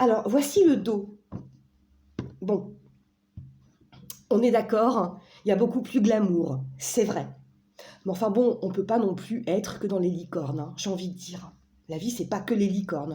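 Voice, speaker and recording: With an animated tone, a woman speaks at a medium pitch and a fairly slow pace, her pitch varying in an ordinary way. Long pauses come often, and the room echo is audible. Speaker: oracle card reviewer. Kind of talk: casual product review. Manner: halting, stumbling over words.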